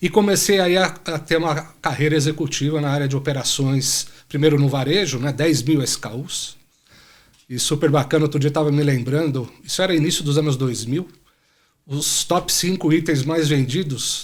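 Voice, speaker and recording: A normal speaking voice at a moderate pace. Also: man, fairly high pitch for a man. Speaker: supply chain executive. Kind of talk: podcast interview.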